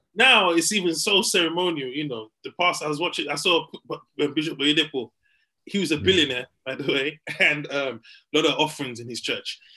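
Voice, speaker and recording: A man speaks in a bright, sharp tone at a fairly high pitch, with ordinary pitch variation. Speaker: podcast co-host comedian. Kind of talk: casual banter podcast chat. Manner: animated, joking, laughing.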